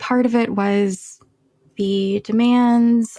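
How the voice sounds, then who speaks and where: A dark, mellow, somewhat breathy voice in an American accent, monotone and flat, at a very slow pace. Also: woman. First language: Chinese. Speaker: cancer biologist and poet. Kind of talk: interview conversation.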